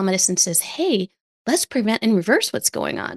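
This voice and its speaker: A woman's normal speaking voice, fairly high in pitch, at a moderate pace against a quiet background. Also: dry, close sound with no echo. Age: 50s. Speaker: physician, lifestyle medicine coach. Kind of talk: interview.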